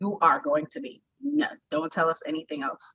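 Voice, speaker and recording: A woman speaks with a bright, sharp tone. The sound is dry and close, with no echo. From Jamaica. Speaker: plus-size model and life coach. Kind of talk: interview. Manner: animated.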